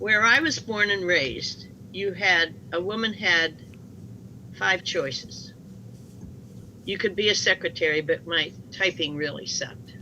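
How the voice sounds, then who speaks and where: With a bright, sharp tone and vocal fry, a woman talks in lively intonation broken by long, frequent pauses. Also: fairly low pitch for a woman, fairly slow pace. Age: 80s+. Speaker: math teacher. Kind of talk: interview storytelling.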